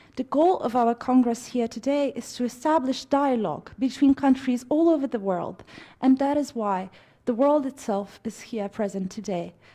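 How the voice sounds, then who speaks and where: A woman's high-pitched voice with a Romanian accent, a dark, mellow tone and ordinary pitch variation. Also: moderate pace. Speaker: congress speaker. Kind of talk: formal speech. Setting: stage with audience. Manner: formal.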